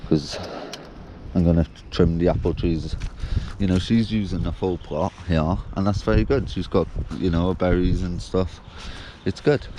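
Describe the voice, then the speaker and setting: Through noticeable background noise, a man with a very deep, low pitch talks at a moderate pace with lively intonation and long, frequent pauses. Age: young. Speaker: allotment gardener vlogger. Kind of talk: casual vlog monologue. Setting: outdoors.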